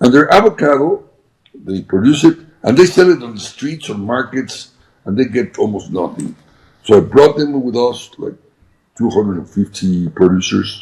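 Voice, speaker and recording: A man of medium pitch with a Spanish accent speaks at a moderate pace, with very wide pitch swings, big swings in loudness, and long, frequent pauses. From Mexico. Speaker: businessman. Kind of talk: interview. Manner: halting.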